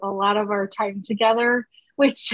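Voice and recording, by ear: Her tone fairly bright, a woman talks at a fairly slow pace with fairly even intonation.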